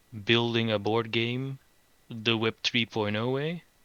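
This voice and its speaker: Man at a medium pitch, in monotone, flat intonation and at a fairly slow pace. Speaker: NFT project founder. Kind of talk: live Q&A in online town hall.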